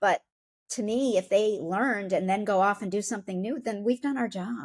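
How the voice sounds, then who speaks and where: With an American accent, a woman talks at a moderate pace and medium pitch with ordinary pitch variation in an unremarkable speaking voice. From Upstate New York. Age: 50s. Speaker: company founder and author. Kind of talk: podcast interview.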